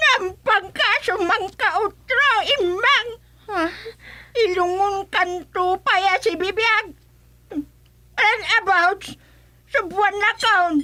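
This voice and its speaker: A woman speaks in a put-on character voice at an extremely high pitch. She goes very slowly, with long, frequent pauses and very even loudness. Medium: audio drama. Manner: scolding, quarrelsome.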